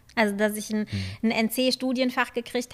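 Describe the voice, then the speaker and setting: Intonation stays fairly even in this woman's voice. She moves at a fairly quick pace. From Germany. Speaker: journalist. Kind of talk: interview.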